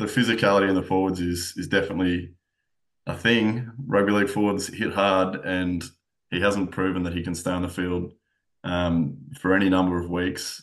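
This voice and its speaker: A man with an Australian accent and a very deep, low pitch, at a moderate pace with fairly even intonation, over a quiet background. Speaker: sports journalist. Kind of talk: casual sports chat.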